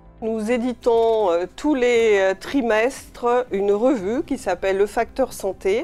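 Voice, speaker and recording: Music plays behind a woman with a fairly high voice and ordinary pitch variation. She speaks at a very slow pace with hardly any pauses. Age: 60s. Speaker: patient association president. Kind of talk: interview testimony. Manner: hesitant, many fillers.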